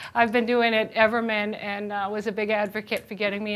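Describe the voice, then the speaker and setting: Her tone is bright and sharp as the woman talks at a moderate pace. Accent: slight Boston. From Boston. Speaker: chef and nutrition educator. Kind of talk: presentation. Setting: lunch and learn presentation with audience. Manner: casual, lively.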